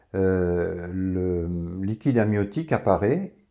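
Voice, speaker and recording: A man's fairly low voice, dark and mellow in tone, against a quiet background. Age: 70s. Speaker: water enthusiast presenter. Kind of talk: informal talk to camera. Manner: halting, many hesitations.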